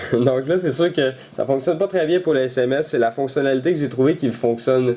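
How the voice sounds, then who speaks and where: Speech runs at a moderate speed. Its pitch moves up and down in an ordinary way. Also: man. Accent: Quebec. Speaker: tech YouTuber. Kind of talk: tutorial. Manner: hesitant, many fillers.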